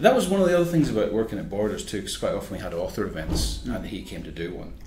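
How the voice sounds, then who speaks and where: A man with a Northern Irish accent talks at a very fast pace with big swings in loudness, over noticeable background noise. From Northern Ireland. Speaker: magazine editor and journalist. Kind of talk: interview answer.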